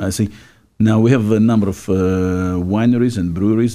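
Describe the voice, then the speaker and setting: In a Czech accent, a man speaks very fast with a dark, mellow tone and fairly even intonation on a very clean recording with a silent background. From Czechoslovakia. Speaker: radio host. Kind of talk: casual chat. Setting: studio.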